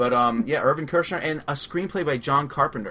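A man speaks fairly quickly with a Long Island accent. His tone is bright and sharp. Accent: Long Island New York. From Long Island, New York. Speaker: radio host. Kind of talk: casual chat, movie discussion.

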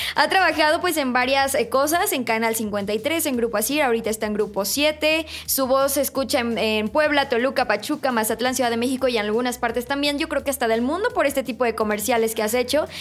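A woman's high-pitched voice at a fairly quick pace with hardly any pauses, very even loudness and ordinary pitch variation, over noticeable background noise. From outside Mexico City. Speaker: podcast host. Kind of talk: casual interview.

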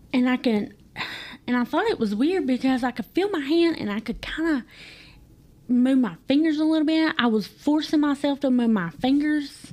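Lively intonation with an Appalachian accent. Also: woman, high pitch for a woman, moderate pace. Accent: Appalachian US Southern. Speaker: guest telling personal story. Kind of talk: testimony. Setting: studio.

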